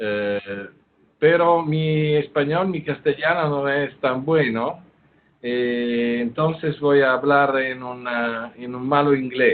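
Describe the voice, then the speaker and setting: A man with an Italian accent speaks at a very slow pace. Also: fairly high pitch for a man, ordinary pitch variation. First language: Italian (speaking Spanish). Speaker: surgery professor and endoscopist. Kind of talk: lecture. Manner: halting, many fillers.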